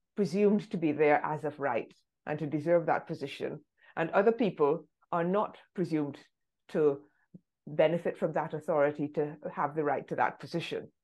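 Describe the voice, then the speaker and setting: A woman with a British accent and a very deep, low pitch, ordinary pitch variation, a moderate pace and long, frequent pauses, over a quiet background. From England, London. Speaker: anti-racism activist and author. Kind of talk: interview conversation.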